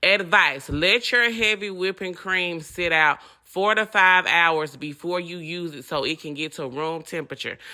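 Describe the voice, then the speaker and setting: Speaking in a Southern accent, a woman with a fairly low pitch and a bright, sharp, animated tone moves at a fairly slow pace with hardly any pauses, her pitch varying in an ordinary way and her loudness swinging widely. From US South. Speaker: home cooking channel host. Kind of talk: cooking tutorial.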